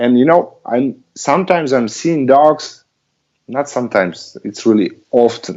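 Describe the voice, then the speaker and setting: A man talks with a non-native accent. His intonation is lively. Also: medium pitch for a man, fairly slow pace. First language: not English. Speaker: dog trainer. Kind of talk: casual chat. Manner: halting.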